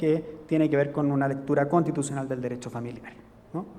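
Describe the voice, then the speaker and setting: A man with a Chilean accent amid audible room echo. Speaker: legal scholar. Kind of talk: lecture. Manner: halting, many fillers.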